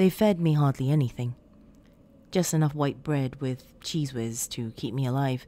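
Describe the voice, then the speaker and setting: In a dramatic tone, a woman with a very deep, low pitch and a dark, mellow sound speaks at a moderate pace with ordinary pitch variation. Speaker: creepypasta narrator and podcast host. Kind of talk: scripted horror story narration, read aloud as a ghost story. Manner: dramatic, with an intimate storyteller's delivery.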